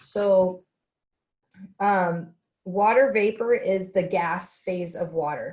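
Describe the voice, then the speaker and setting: Fairly even intonation runs through this woman's somewhat breathy speech. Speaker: respiratory care instructor. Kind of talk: recorded lecture. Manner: hesitant, many fillers.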